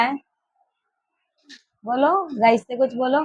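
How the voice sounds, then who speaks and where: A woman's voice with ordinary pitch variation. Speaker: family vlogger. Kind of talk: casual vlog chat.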